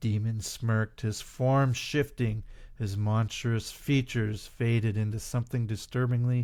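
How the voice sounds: A natural reading voice is heard here. The intonation stays fairly even.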